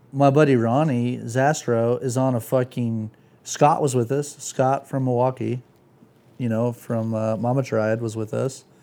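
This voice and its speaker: A man's dark, mellow voice at a medium pitch, with an American accent and a fairly slow pace. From Santa Cruz area, California. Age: 30s. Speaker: skateboarder and motorcycle rider. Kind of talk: casual chat. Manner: animated.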